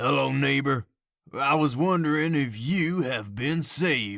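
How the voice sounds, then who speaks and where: A man's put-on character voice at medium pitch and a fairly slow pace. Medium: read story. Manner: warm, kindly.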